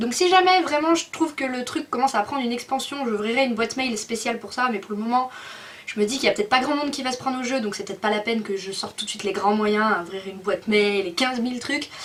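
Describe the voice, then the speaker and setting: A woman's fairly high voice at a very fast pace, with ordinary pitch variation and noticeable background noise. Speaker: video blogger. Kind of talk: casual vlog update.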